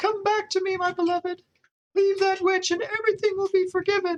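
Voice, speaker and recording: This put-on character voice is squeaky and extremely high-pitched, moving at a fairly quick pace. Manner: pleading, melodramatic.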